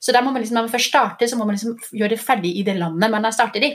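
A woman speaks very fast in an animated tone, with a Danish accent. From Denmark. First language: Danish (speaking Norwegian). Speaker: doctor and skincare entrepreneur. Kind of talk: interview. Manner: halting.

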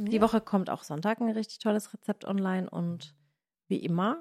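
In an animated tone, a woman of medium pitch speaks at a moderate pace with ordinary pitch variation, on a very clean recording with a silent background and a dry, close sound with no echo. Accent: Baden. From Baden, southwestern Germany. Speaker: cooking video creator and podcast host. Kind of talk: casual chat; sales pitch.

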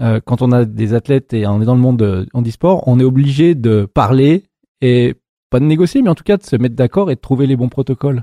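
The recording has a dry, close sound with no echo. A man speaks in a plain, everyday voice at medium pitch with ordinary pitch variation. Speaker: podcast host. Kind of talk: interview. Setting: gym room, seated on a bench.

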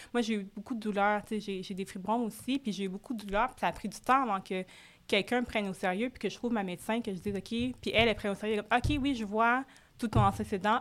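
Recorded very cleanly against a silent background, a woman talks at a fairly quick pace with fairly even intonation. Her fairly high voice is an ordinary speaking voice. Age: 30s. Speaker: podcast host and boutique founder. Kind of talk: casual interview.

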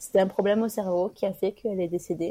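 Her dark, mellow tone sits at medium pitch as this woman talks at a moderate pace with fairly even intonation. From France, Toulouse. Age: 30s. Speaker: author, bereaved sister. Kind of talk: personal testimony interview. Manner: halting, many hesitations and repetitions.

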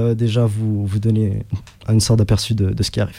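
A man's dark, mellow tone in a monotone, flat delivery. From Egypt. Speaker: rapper. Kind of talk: radio interview. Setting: radio studio. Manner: halting.

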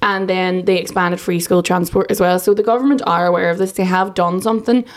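A woman speaks with an Irish accent. Her pitch sits in the medium range. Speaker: political correspondent. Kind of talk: news discussion.

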